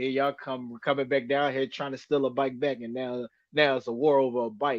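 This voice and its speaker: A man at a medium pitch and a fairly quick pace, with monotone, flat intonation. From US Northeast, North Philadelphia. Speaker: professional boxer. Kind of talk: casual chat.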